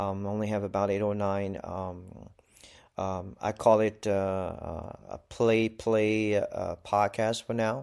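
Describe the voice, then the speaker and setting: In a Malaysian accent, a man speaks at a very slow pace and a fairly low pitch with a monotone, flat intonation. The recording is very clean, with a silent background. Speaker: podcaster. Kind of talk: casual solo ramble. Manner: halting, many fillers.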